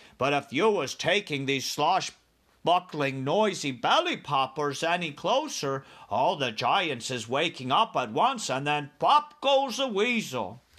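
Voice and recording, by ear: A man performs a put-on character voice with a fairly high pitch. His tone is fairly bright, with big pitch swings. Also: fairly slow pace.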